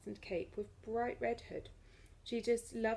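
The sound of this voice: The speaker reads in an unforced reading voice. An unforced reading voice carries throughout.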